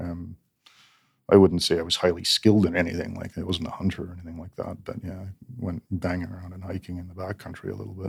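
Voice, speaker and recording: In monotone, flat intonation, a man talks at a very fast pace with a very deep, low, somewhat breathy voice and big swings in loudness, on a very clean recording with a silent background. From northern England. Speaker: police officer and former Royal Marine. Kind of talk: casual interview. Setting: studio.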